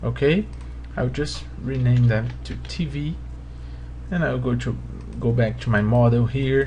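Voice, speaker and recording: A fairly slow pace with long, frequent pauses, in a Portuguese accent, amid noticeable background noise. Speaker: 3D modeling tutor. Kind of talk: tutorial. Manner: halting.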